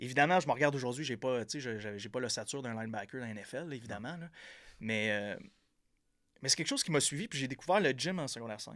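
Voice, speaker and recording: Delivered very fast in a Quebec accent, the speech has lively intonation and big swings in loudness. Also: man, medium pitch for a man. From Quebec, Gaspésie (Percé). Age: 30s. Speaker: entrepreneur and podcaster. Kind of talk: casual interview. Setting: studio.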